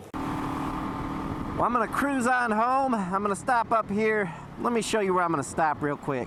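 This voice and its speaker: A man speaks in an animated tone with lively intonation. Noticeable background noise runs underneath. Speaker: motorcycle vlogger. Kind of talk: casual vlog narration. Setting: outdoors. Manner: occasional stuttering; casual, animated.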